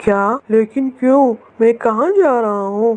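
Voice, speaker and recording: A cartoonish character voice from a woman, fairly high-pitched and fairly slow. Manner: lazy, gruff.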